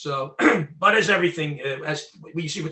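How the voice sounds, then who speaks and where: A man with a Philadelphia accent talks at a fairly quick pace and a fairly high pitch. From Southwest Philadelphia, US. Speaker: former recording engineer and freedom activist. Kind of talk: interview.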